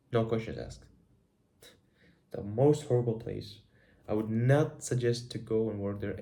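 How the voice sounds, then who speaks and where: There's audible room echo as a man with a dark, mellow tone and medium pitch talks at a moderate pace. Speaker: vlogger. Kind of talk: personal video diary. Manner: animated.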